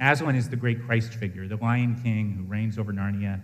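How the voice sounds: Fairly even intonation shapes a natural reading voice.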